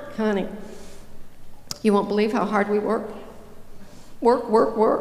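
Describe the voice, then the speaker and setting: Noticeable background noise and audible room echo surround this recording of a woman. She speaks fairly slowly in a fairly high pitch. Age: 60s. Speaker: motivational speaker. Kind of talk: keynote speech. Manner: animated.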